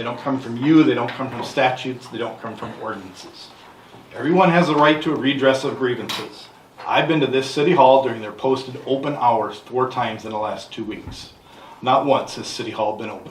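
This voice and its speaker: Noticeable background noise sits behind a man speaking at a fairly quick pace. His pitch variation is ordinary. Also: medium pitch for a man, big swings in loudness. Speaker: citizen investigator. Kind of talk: public comment at council meeting. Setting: city council meeting room. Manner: fast.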